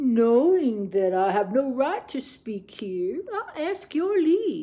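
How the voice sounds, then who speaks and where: A female-sounding, put-on character voice rises to a high pitch with very wide pitch swings. It moves at a very slow pace. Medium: read story. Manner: smooth, persuasive.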